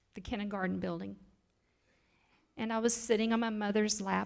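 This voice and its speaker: The pace is moderate. There is audible echo from the room. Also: woman. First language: American Sign Language. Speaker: preacher. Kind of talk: sermon.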